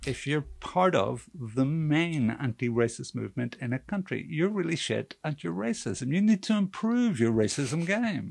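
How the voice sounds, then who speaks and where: A man with a Northern Irish accent and a fairly high pitch talks at a moderate pace with hardly any pauses and very wide pitch swings. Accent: Northern Irish (Belfast). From Northern Ireland, Belfast. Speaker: cartoonist magazine staff writer. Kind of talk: casual chat.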